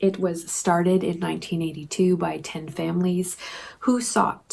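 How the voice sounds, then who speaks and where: A somewhat breathy woman with a fairly low pitch, at a fairly slow pace. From Canada. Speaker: language teacher. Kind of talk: conference presentation. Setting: pre-recorded while traveling. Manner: prepared, measured with fillers.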